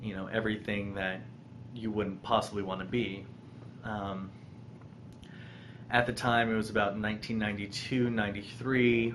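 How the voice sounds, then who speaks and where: Audible room echo surrounds a man with an American accent whose fairly low, monotone voice stays flat, broken by long, frequent pauses. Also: moderate pace. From US, Colorado (Boulder). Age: 20s. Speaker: vlogger sharing personal story. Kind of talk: personal testimony vlog. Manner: halting, many ums.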